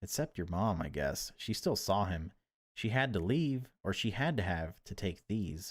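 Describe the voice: Against a quiet background, the speaker gives a plain reading aloud with lively intonation.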